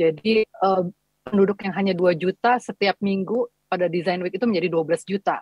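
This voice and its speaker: Against a quiet background, a woman speaks at a moderate pace with fairly even intonation, her voice dry with no echo. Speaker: entrepreneur; presenter. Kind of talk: panel presentation. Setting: video call. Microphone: video call.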